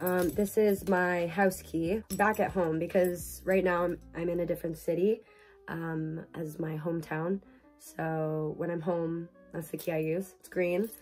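With faint music in the background, a woman speaks at a fairly slow pace in a fairly low pitch with monotone, flat intonation. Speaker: university student vlogger. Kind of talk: casual vlog chat. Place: home room. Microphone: phone near.

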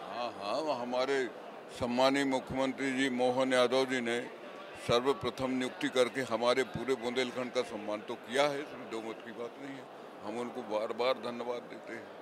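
Recorded dry with no echo but noticeable background noise, a man speaks at a fairly slow pace in a monotone, flat intonation. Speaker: politician. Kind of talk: interview answer. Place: hall. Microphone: handheld.

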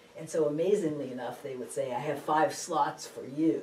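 A woman with an American accent at a moderate pace, with audible room echo and light background noise. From Massachusetts, Boston area. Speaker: law professor. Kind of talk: oral history interview. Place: office.

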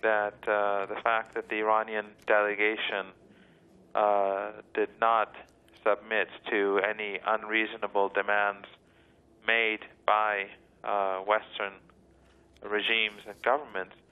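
The delivery is monotone and flat at a fairly slow pace. Long pauses come often. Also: man, fairly low pitch for a man. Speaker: university professor, guest. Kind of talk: interview answer. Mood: measured, analytical. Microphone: phone line.

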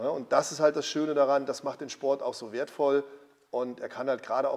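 A man talks in a normal speaking voice, his pitch fairly high and his intonation fairly even. His pace is moderate. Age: 50s. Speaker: former pro bodybuilder and gym owner. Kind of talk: casual interview.

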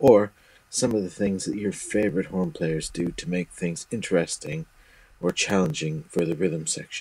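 Using an unremarkable speaking voice, a man with a fairly low pitch talks at a moderate pace with lively intonation. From Canada (Toronto). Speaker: saxophonist, listener calling in. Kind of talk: recorded voice message.

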